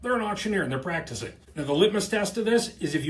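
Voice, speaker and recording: His pitch moves with ordinary variation. Noticeable noise sits behind the man. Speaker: company video host / explainer about auctioneering. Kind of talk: casual explainer talking to camera. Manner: conversational, humorous.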